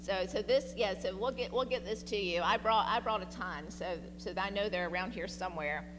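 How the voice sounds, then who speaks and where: The pace is fairly quick. A woman's voice carries audible room echo. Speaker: diabetes health educator. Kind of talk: health presentation. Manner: loud.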